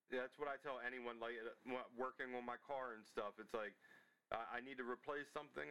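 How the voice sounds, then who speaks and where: A man speaks with an American accent at a medium pitch. His tone is bright and sharp, his intonation fairly even. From Maryland. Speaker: podcast host. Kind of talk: interview.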